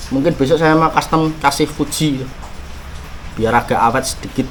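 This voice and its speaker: A man with a Javanese accent at a moderate pace, over noticeable background noise. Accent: rustic Javanese-tinged pronunciation. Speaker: fishing gear YouTuber. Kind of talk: gear review and unboxing. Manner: casual, halting with fillers.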